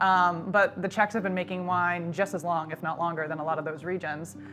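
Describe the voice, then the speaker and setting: With an American accent, a woman speaks at a moderate pace in a fairly low pitch. Her intonation stays fairly even, with music in the background. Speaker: wine importer. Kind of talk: casual chat. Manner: frequent filler 'um'.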